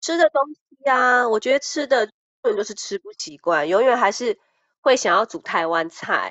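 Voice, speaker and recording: A woman's high-pitched voice at a fairly slow pace, with very wide pitch swings and big shifts in loudness. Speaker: YouTuber. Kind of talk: casual chat.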